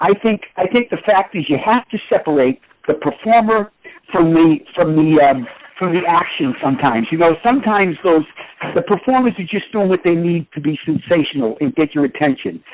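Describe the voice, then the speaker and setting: A man with an American accent talks at a fairly quick pace in a high pitch with lively intonation, recorded with a dry, close sound with no echo. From Boston. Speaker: DJ and remixer, former radio presenter. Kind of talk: casual interview chat. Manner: animated.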